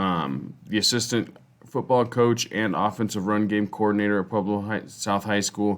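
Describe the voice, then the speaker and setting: A man's fairly low voice with a General American accent, moderate pace and ordinary pitch variation. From Colorado, US. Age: 30s. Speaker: teacher and football coach. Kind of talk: class presentation. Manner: halting, many fillers.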